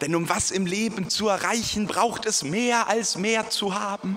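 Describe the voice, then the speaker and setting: With light background noise, a man speaks at a high pitch in a playful tone. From Germany. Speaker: slam poet. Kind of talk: poetry slam performance, rhymed spoken-word poem with audience. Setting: stage with audience. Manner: self-deprecating, playful tone. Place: church.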